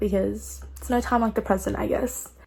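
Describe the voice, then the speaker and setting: Moderate pace with an Australian accent. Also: woman. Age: 20s. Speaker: book vlogger. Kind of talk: casual vlog chat.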